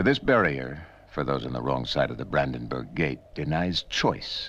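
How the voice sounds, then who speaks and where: A man speaks in a solemn tone with vocal fry. His pace is moderate. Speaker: documentary narrator. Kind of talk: documentary narration. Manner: solemn, authoritative, measured.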